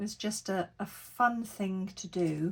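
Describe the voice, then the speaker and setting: The woman's voice is somewhat breathy. She speaks at a very slow pace. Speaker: crafter. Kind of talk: tutorial. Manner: casual narration while working.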